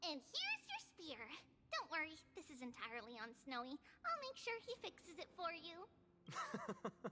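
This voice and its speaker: In a put-on character voice, the speaker talks at a moderate pace with a high pitch and very wide pitch swings over clear background noise. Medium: video game.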